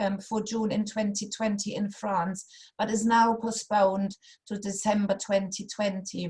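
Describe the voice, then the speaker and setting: Speaking in a German accent, a woman at medium pitch sounds somewhat breathy, with flat, monotone intonation and a fairly slow pace. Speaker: funding consultant. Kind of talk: workshop presentation. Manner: halting, many fillers.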